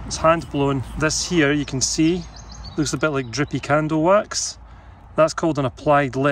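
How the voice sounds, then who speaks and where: A man speaks at a fairly slow pace with ordinary pitch variation. The sound is dry with no echo, over light background noise. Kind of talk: casual vlog chat. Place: forest. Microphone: phone near.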